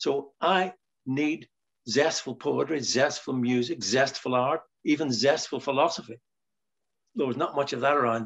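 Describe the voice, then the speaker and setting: A man with a Northern Irish accent, fairly high pitch and ordinary pitch variation, at a moderate pace with long, frequent pauses. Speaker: writer. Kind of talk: interview conversation.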